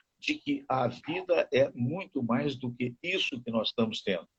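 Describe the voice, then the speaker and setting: A somewhat breathy man talks at a fairly slow pace in a dry, close sound with no echo. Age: 70s. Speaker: radio host. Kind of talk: casual chat.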